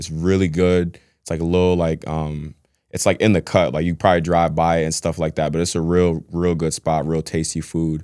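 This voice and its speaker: A man's very deep, low voice with a dark, mellow tone at a moderate pace, in a very clean recording with a silent background. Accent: American. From New York City. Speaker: podcast guest, former college basketball player. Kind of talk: casual interview chat.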